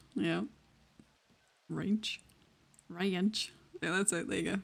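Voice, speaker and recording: Vocal fry in a woman's voice. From Wales. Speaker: streamer playing roleplay game. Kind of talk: casual chat. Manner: animated.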